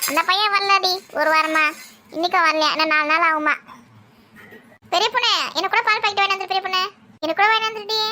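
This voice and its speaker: In a cartoonish character voice pitched extremely high, a woman talks at a fairly quick pace with ordinary pitch variation. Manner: chatty, familiar, wheedling.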